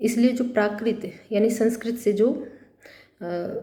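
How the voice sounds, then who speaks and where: A woman speaks with a Haryanvi accent at a fairly high pitch and fairly even intonation. Room echo is audible. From Haryana, India. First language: Haryanvi (speaking Hindi). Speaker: college lecturer. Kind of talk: lecture. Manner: halting, many fillers.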